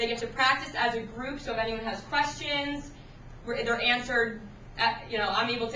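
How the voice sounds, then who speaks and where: Fairly high-pitched woman, fairly quick pace, monotone flat intonation, audible room echo and noticeable background noise. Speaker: sixth grade writing teacher. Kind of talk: classroom technology demonstration. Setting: classroom.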